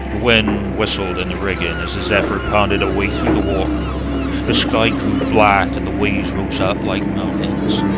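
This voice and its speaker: Very deep, low pitch from a man with very wide pitch swings, at a moderate pace, with music in the background. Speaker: narrator. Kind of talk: storybook reading.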